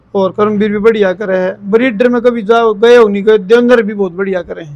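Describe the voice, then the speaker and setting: A man with a high pitch speaks in fairly even intonation, with big swings in loudness. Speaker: buffalo breeder and former wrestler. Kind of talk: casual interview.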